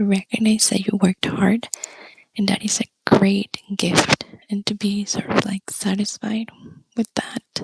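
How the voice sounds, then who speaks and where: A soft-spoken woman talks at a fairly slow pace and medium pitch in a monotone, flat intonation. The sound is dry and close, with no echo. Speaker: tarot reader. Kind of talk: soft-spoken ASMR tarot reading.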